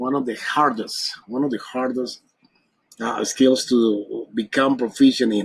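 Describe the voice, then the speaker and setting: Speaking fairly slowly in a Spanish accent, a man keeps to a medium pitch. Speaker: English teacher. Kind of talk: tutorial.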